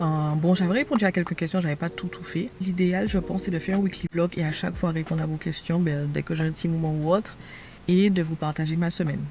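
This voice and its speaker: A woman's fairly low voice at a very fast pace. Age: 20s. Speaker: vlogger and online entrepreneur. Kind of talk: casual vlog chat. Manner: animated.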